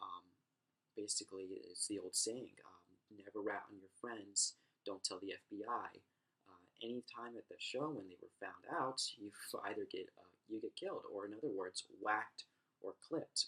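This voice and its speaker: A soft-spoken man talks at a moderate pace with big swings in loudness. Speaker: university student. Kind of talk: class presentation.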